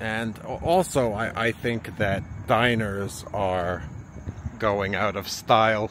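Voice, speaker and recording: The voice is a man's, fairly low in pitch. Light background noise sits under a dry sound with no echo. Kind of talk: casual vlog chat. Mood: slightly nervous, curious. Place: street. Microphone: phone near.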